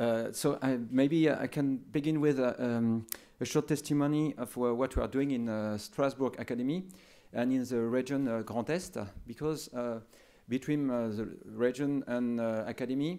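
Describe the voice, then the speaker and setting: Speaking at a moderate pace with a French accent, a man of medium pitch has a dark, mellow tone and fairly even intonation, recorded very cleanly over a silent background. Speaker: education official. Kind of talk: conference talk. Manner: halting.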